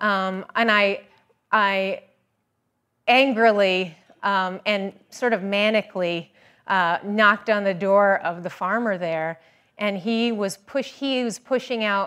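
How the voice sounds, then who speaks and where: A woman with an American accent speaks in a normal speaking voice at a medium pitch and a fairly slow pace, with ordinary pitch variation on a very clean recording with a silent background. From US South. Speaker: orchardist and hog farmer. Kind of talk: presentation.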